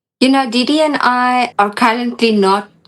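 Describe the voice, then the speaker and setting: A woman with a South African accent, fairly slow pace and ordinary pitch variation. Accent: Afrikaans-accented English. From Namibia. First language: Afrikaans. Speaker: doll collector. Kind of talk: casual interview chat. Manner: soft-spoken.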